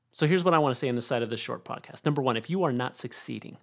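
His pitch rises and falls in a normal way as this man talks. Nothing can be heard behind him on the very clean track. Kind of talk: angry motivational rant. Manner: intense, loud, emphatic, hammering repeated phrases.

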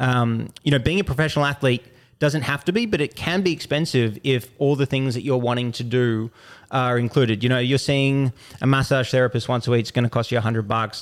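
With an Australian accent, a man speaks at a fairly quick pace. His pitch is medium, with ordinary variation. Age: 20s. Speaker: Olympic sprinter. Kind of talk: casual chat. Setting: studio.

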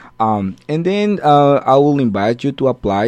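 A man speaks with a Spanish accent. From Guatemala. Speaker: food science professor. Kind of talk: radio interview. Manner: halting.

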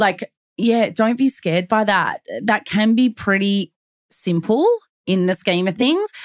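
A woman's fairly high voice in an Australian accent, fairly slow and very even in loudness, with a dry, close sound and no echo. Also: ordinary pitch variation. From Melbourne, Australia. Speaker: real estate agent podcast co-host. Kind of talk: casual chat.

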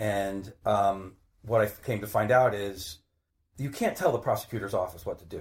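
A man with an American accent speaks at a moderate pace and fairly low pitch, somewhat breathy. His intonation stays fairly even while his loudness swings widely. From northern New Jersey (Maplewood). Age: 50s. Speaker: retired private investigator, cold case advocate. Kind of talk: interview. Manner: halting, repeats words.

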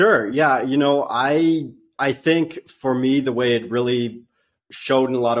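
A man with an American accent speaks in a medium pitch with ordinary pitch variation in a very clean recording with a silent background. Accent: near-general American, slight Dutch trace. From Netherlands. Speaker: software engineer. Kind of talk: interview chat.

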